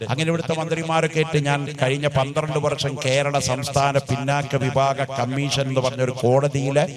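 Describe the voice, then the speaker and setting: Noticeable background noise sits behind a man's voice. His pitch is fairly high and his intonation monotone and flat. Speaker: Islamic preacher. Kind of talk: Islamic religious speech to a live audience. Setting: live event, speaking to a gathering.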